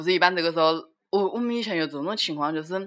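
This woman speaks in a Wuhan accent. Her pitch is fairly low, with ordinary pitch variation. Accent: Wuhan-accented Mandarin. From China, Wuhan. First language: Wuhan dialect (speaking Chinese). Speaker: podcast co-host. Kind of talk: casual chat.

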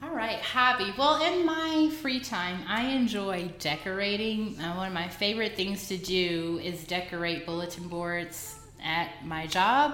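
A woman's medium-pitched voice with an American accent, fairly slow with hardly any pauses and very wide pitch swings, amid audible room echo and noticeable background noise. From US South, Fort Worth, Texas. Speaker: podcast co-host. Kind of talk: casual chat.

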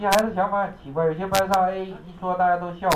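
Fairly quick speech with audible room echo and noticeable background noise. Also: man. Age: 30s. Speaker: English exam teacher. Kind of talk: classroom lecture. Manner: animated.

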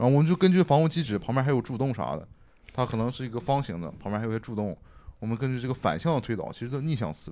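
A man's dark, mellow voice at a very fast pace with lively intonation. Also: medium pitch for a man. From Dalian, northeast China. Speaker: archaeology PhD student and graphic designer. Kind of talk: casual chat.

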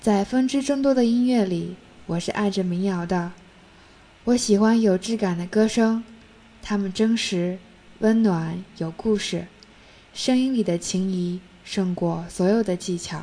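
Her tone dark and mellow, a woman speaks fairly slowly at a medium pitch with ordinary pitch variation and long, frequent pauses. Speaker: solo podcast host. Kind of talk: scripted narration. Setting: home desk at night.

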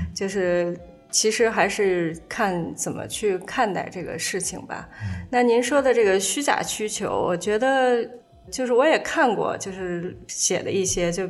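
The recording has noticeable background noise and audible room echo. A woman speaks at a fairly slow pace with ordinary pitch variation. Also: medium pitch for a woman. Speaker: author and former fashion magazine editor. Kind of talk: casual chat. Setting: at the host's home.

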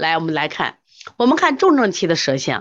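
A woman speaks at a moderate pace in an animated tone, her pitch swinging very widely. The background is quiet. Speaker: traditional Chinese medicine teacher. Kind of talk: online lecture with live chat.

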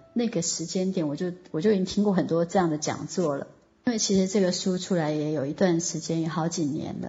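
A woman with a fairly low voice talks while noticeable background noise carries on behind her. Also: ordinary pitch variation, fairly quick pace. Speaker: online course teacher. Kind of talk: online lecture. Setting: online voice class.

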